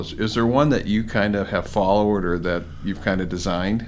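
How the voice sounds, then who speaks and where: A man talks at a very fast pace in a fairly low pitch. Audible room echo is present. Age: 50s. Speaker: bank executive and podcast host. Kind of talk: interview.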